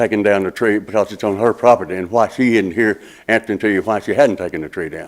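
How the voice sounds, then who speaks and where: Very fast speech comes from a man with a fairly low voice. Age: 70s. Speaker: property owner at hearing. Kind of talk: testimony. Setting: public meeting. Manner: halting.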